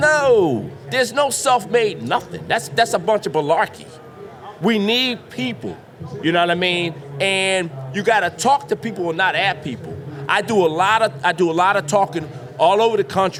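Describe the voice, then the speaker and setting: Loud and animated in tone, a man speaks at a moderate pace in a high pitch with lively intonation. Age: 50s. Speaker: drain cleaning business owner. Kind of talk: podcast interview before live audience.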